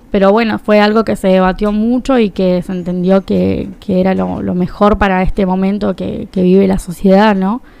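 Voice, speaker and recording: A woman speaks at a medium pitch and a moderate pace, with hardly any pauses. Her dark, mellow tone stays in a flat monotone. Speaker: political activist. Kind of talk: radio interview.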